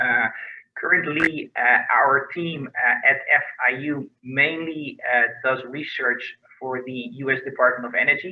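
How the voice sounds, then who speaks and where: A man with a Dutch accent at a fairly slow pace. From Netherlands. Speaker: research scientist. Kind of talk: research profile presentation.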